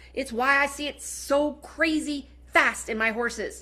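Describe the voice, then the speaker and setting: A woman with a high voice speaks in a raised, projected voice, her tone bright, sharp and animated. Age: 40s. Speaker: product presenter. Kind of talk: sales pitch. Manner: fast.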